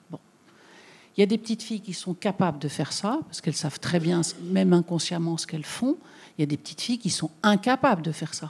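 Speaking at a very fast pace yet with long, frequent pauses, a woman sounds somewhat breathy. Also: fairly low pitch for a woman. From southern France, Bouches-du-Rhône. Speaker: journalist and author. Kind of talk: public talk with Q&A. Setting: public event with audience.

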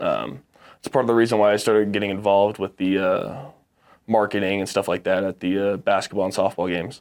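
In an American accent, a man talks very fast at a fairly low pitch with fairly even intonation, on a very clean recording with a silent background. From Texas and Arizona. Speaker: college football player. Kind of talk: casual interview.

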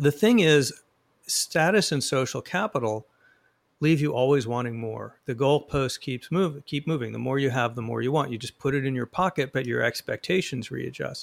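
A man's fairly high voice, an unremarkable speaking voice, at a moderate pace with normal pitch movement. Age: 60s. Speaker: author and journalist. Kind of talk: interview.

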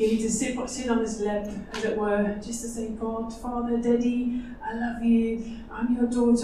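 A fairly high-pitched woman with a Dutch accent and monotone, flat intonation, with audible room echo and noticeable background noise. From Netherlands. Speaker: nurse. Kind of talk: conference seminar talk.

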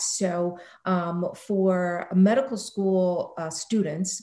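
Somewhat breathy, a woman speaks with a medium pitch, a dark, mellow tone and fairly even intonation. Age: 50s. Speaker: business executive. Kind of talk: interview.

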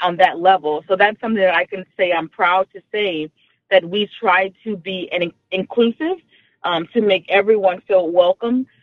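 A woman with an American accent and medium pitch speaks at a moderate pace with fairly even intonation. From Texas. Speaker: radio caller. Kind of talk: casual chat.

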